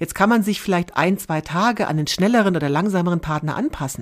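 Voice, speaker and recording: With an unremarkable speaking voice, a woman talks at a fairly quick pace and medium pitch with lively intonation, in a very clean recording with a silent background. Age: 50s. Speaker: long-distance hiker, former manager. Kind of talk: interview.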